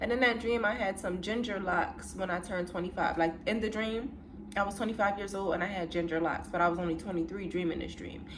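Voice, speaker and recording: Amid noticeable background noise and audible room echo, a woman talks at a very fast pace with ordinary pitch variation. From US Northeast, Philadelphia. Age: 20s. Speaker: content creator. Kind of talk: casual chat. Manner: relaxed, conversational.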